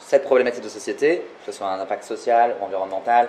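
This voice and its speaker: Over noticeable background noise, a man talks at a fairly quick pace in a medium-pitched voice. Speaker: no-code consultant and co-founder. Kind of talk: live talk interview. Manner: fast.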